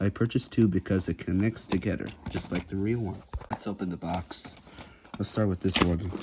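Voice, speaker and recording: Noticeable background noise accompanies a woman speaking fairly quickly with fairly even intonation. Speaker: toy unboxing youtuber. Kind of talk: casual unboxing vlog.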